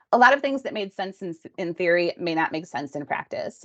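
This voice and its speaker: Very fast speech in a dry, close recording with no echo. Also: woman. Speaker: healthcare practice consultant. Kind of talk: webinar presentation. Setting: online webinar.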